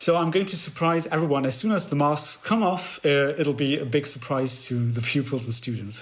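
Speaking at a fairly quick pace over noticeable background noise, a man in a German accent uses a fairly high pitch with ordinary pitch variation. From Germany. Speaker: fan and amateur musician. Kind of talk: casual interview.

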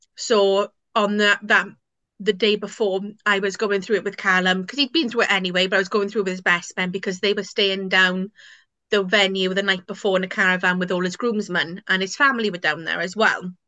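In a Welsh accent, a woman with a bright, sharp tone and medium pitch speaks at a fairly quick pace with fairly even intonation over a quiet background. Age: 20s. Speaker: guest sharing personal story. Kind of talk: interview. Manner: casual with many fillers.

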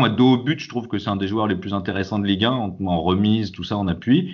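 A man talks at a fairly quick pace in a plain, everyday voice. His pitch sits fairly low and varies in an ordinary way. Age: 40s. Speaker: football supporter. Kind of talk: casual chat.

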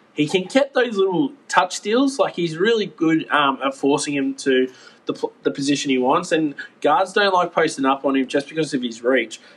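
With an Australian accent, a man talks in a fairly high pitch. His intonation is lively. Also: moderate pace. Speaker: sports podcast co-host. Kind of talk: casual chat.

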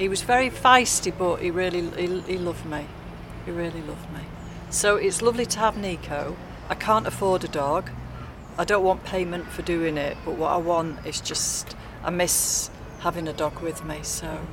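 Noticeable background noise accompanies talking at a moderate pace. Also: woman, fairly low pitch for a woman, ordinary pitch variation. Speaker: dog sitter and carer for her mother. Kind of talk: casual street interview. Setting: outdoors at a tram stop.

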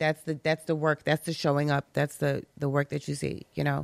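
With an American accent, a woman talks in a very deep, low pitch, recorded dry and close with no echo. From Brooklyn, New York. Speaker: health business owner. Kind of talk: casual chat.

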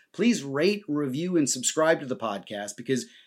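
On a very clean recording with a silent background, a man with a New Jersey accent talks fairly quickly at a fairly high pitch, his intonation lively. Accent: American, New Jersey. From US Northeast, New Jersey. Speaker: historian and podcast host. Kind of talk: scripted narration.

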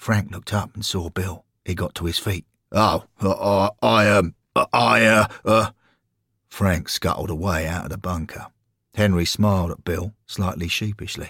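In an English accent, a man with a very deep, low voice speaks at a moderate pace in an animated, theatrical tone with ordinary pitch variation, the sound dry and close with no echo. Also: very clean recording, silent background. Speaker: narrator and voice actor reading fiction. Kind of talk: dramatic narration of comic fantasy fiction, with character voices. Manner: animated, theatrical, doing character voices.

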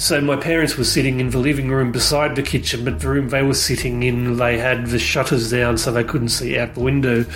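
A man's medium-pitched voice in an Australian accent, fairly quick with hardly any pauses, very even in loudness and fairly even in intonation, with audible room echo and noticeable background noise. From Australia, outskirts of Sydney. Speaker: UFO witness. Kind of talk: recorded testimony. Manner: halting, many ums.

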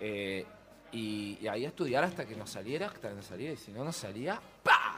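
Music plays in the background as a man talks at a fairly quick pace. His intonation is lively, and his loudness swings widely. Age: 50s. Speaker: theatre producer and costume designer. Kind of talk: interview. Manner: animated.

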